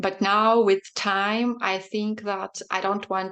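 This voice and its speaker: This woman speaks with a Belarusian accent. Her intonation is monotone and flat. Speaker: poet and translator. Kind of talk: panel interview. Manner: halting, many fillers.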